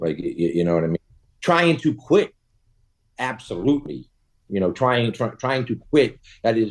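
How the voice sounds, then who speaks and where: A man with a Boston accent, medium-pitched and creaky with vocal fry, at a moderate pace, with very wide pitch swings and long, frequent pauses. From Boston, US. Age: 40s. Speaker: cannabis entrepreneur. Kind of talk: casual interview chat. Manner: halting, repetitive fillers.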